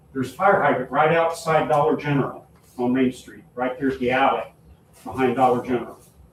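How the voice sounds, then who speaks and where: A man talks at a fairly quick pace and fairly high pitch. There is noticeable background noise. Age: 70s. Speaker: town official. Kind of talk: public meeting talk. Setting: town meeting. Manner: animated.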